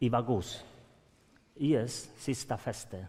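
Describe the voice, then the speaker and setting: A man speaks very slowly with a Swedish accent. His pitch varies in an ordinary way. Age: old. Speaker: grandparent of detained children, speaker. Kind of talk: testimony at conference.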